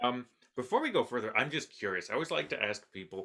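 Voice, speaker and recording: A man with a North American accent, bright and sharp in tone, at a moderate pace. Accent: generic North American. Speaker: podcast host. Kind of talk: casual chat.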